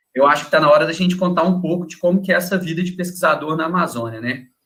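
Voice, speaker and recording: Fairly high in pitch for a man, this unremarkable speaking voice moves at a fairly quick pace. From Minas Gerais, Brazil. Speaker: wildlife researcher. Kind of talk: casual chat.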